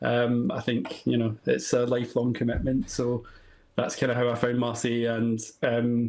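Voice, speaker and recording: A man speaks at a moderate pace in a medium pitch, his intonation flat and monotone. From Scotland. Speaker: football podcaster, fan guest. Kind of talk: live TV panel chat.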